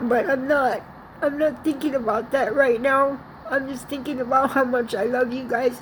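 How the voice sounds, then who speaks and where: Noticeable background noise sits behind a woman speaking at a high pitch and moderate pace with fairly even intonation. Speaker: vlogger sharing personal message. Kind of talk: personal video message. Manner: halting; shaky.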